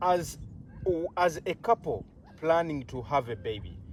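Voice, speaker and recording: A man speaks very slowly in a Ugandan accent. His fairly high voice swings very widely in pitch. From Uganda (Baganda). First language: Luganda. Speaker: health channel host. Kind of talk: interview.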